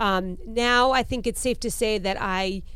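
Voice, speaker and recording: Her voice sits fairly high for a woman. She has an ordinary speaking voice with ordinary pitch variation. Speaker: podcast co-host. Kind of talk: casual chat.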